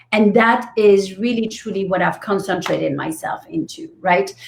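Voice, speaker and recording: A woman with a French accent, somewhat breathy, at a fairly slow pace. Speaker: business coach. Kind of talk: interview.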